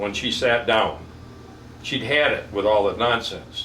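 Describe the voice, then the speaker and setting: The man speaks at a fairly slow pace. Room echo is audible, and there is noticeable background noise. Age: 70s. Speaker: barber. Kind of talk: casual chat. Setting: barber shop. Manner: animated.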